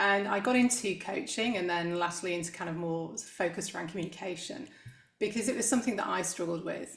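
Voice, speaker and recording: A woman at medium pitch with an English accent, noticeable background noise and audible room echo. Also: ordinary pitch variation, fairly quick pace. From England, Manchester area. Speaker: executive coach. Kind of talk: interview.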